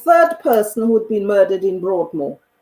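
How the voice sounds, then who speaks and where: The voice is a woman's. She swings her pitch very widely. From Caribbean. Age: 60s. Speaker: community activist. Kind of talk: panel discussion.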